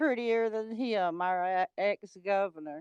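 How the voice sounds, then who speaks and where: Recorded with a dry, close sound with no echo and a quiet background, a woman speaks with a Mississippi accent at a fairly slow pace. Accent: Mississippi Southern. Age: 60s. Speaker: livestreamer. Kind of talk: casual chat.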